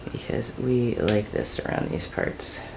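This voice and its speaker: Speaking fairly slowly with an American accent, a woman uses a very deep, low pitch and ordinary pitch variation. Noticeable background noise and audible room echo fill the recording. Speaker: home cooking channel host. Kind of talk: cooking tutorial. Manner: casual, conversational.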